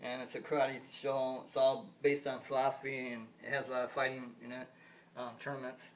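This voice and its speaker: With an American accent, the speaker talks at a fairly quick pace in a monotone, flat way, with audible room echo. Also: man. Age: 50s. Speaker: vlogger. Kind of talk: casual monologue. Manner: halting.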